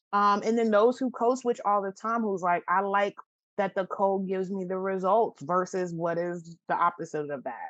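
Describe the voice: A woman speaks at a moderate pace with a fairly bright tone. Her pitch is medium and her intonation fairly even.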